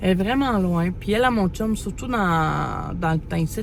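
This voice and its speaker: Against noticeable background noise, a woman talks at a fairly quick pace with very wide pitch swings. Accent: Quebec. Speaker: mother vlogger. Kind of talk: casual vlog talk to camera. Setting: in a parked car. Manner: fast; hesitant, many fillers.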